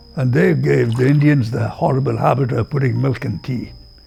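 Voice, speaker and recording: Music plays in the background as a man talks at a medium pitch. He keeps a moderate pace with ordinary pitch variation. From India. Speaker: oral history interviewee. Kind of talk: interview answer.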